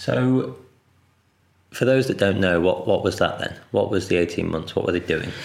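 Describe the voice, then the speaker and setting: A man's very deep, low voice with vocal fry, lively intonation and a moderate pace. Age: 30s. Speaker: podcast host and adventure photographer. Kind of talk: interview conversation; scripted intro. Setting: living room.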